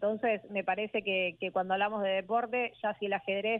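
Speaking at a moderate pace, a woman uses a normal speaking voice with medium pitch and fairly even intonation. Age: 20s. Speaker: esports streamer and commentator. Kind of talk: interview.

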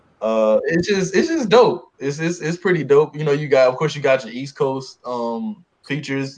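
In a normal speaking voice, a man talks at a moderate pace. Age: 20s. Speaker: podcast co-host. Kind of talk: casual chat.

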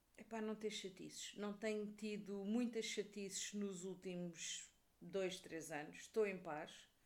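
A woman speaks with a European Portuguese accent at a fairly slow pace. Her pitch is medium, and her intonation is fairly even. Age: 40s. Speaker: podcaster and book youtuber. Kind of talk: casual monologue. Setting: at home.

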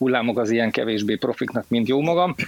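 A man speaks here. His pitch sits in the middle range. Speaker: film expert and cybersecurity specialist. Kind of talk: casual chat. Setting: online audio room. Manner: halting.

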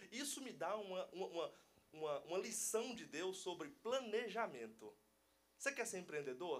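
A man talks with a high pitch and very wide pitch swings, keeping a moderate pace. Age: 20s. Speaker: entrepreneur, church member. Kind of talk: casual chat.

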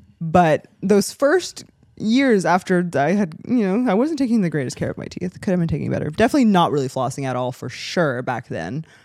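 A woman's fairly low voice at a fairly quick pace, with very wide pitch swings and hardly any pauses. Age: 20s. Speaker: podcast co-host. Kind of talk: casual chat.

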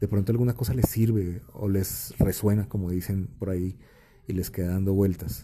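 The voice is somewhat breathy, with a dark, mellow tone. Its intonation stays fairly even at a moderate pace. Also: man, fairly low pitch for a man. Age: 40s. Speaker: podcast host, creative school director. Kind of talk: solo monologue podcast. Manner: casual, conversational with fillers.

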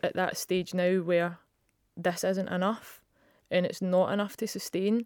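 A woman with a Scottish accent, medium-pitched and flat in intonation, at a fairly slow pace, on a very clean recording with a silent background. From Scotland. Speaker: professional footballer. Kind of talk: interview.

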